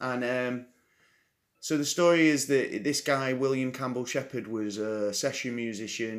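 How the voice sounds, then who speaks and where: A man speaks with an English accent at medium pitch and a fairly slow pace, with ordinary pitch variation. The recording is very clean, with a silent background. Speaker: podcast host. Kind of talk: casual chat.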